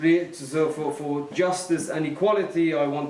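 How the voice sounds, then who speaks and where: A man speaks with an Iranian accent. Noticeable background noise and audible room echo are present. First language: Farsi. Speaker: family speaker at a private event. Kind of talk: speech to guests. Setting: event with audience, streamed live. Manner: halting.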